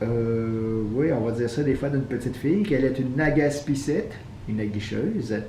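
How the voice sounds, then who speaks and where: At a moderate pace, a man speaks in a Quebec accent with lively intonation and a medium pitch for a man. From Quebec, Canada. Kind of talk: casual talk to camera.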